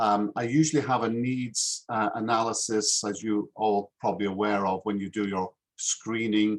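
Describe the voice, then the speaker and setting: Speaking with a Yorkshire accent, a man talks at a moderate pace in a fairly low voice with fairly even intonation. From northern England, Yorkshire (Harrogate). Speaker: English teacher. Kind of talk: self-introduction in a video call interview. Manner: hesitant, many fillers.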